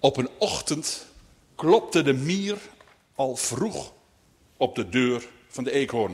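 Lively intonation in an unforced reading voice

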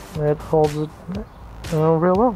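A dry sound with no echo and clear music in the background. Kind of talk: tutorial. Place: street. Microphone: camera far.

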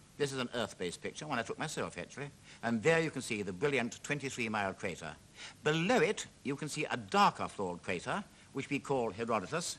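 Talking at a very fast pace, a man swings his pitch very widely. The rises and falls are very wide. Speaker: TV presenter. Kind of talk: commentary. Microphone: old recording.

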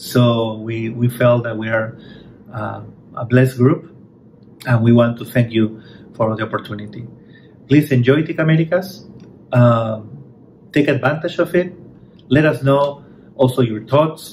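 Over light background noise, a man speaks fairly slowly in a somewhat breathy voice with ordinary pitch variation. He takes long, frequent pauses. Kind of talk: welcome speech. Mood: grateful, warm. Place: office. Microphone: phone near.

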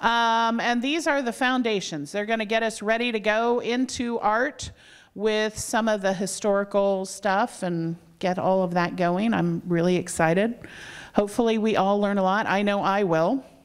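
Very even loudness, ordinary pitch variation and a moderate pace against a quiet background. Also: woman. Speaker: event host introducing a lecturer. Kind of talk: introduction speech. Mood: warm, friendly. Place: hall. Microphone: handheld.

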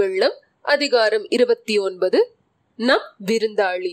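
Her pitch swinging very widely, a woman speaks with a dry, close sound and no echo. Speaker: audiobook narrator. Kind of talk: audiobook reading of a historical novel.

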